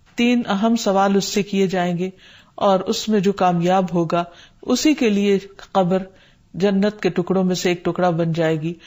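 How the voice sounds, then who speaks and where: A woman talks at a medium pitch, her intonation fairly even, on a very clean recording against a silent background. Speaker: Islamic scholar. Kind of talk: religious lecture.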